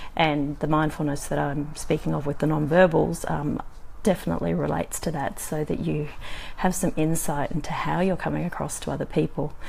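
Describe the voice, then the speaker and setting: Her words come at a fairly quick clip. The room echo is audible, and background noise is noticeable throughout the woman's speech. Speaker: communication coach vlogger. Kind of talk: live video talk. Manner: many filler ums.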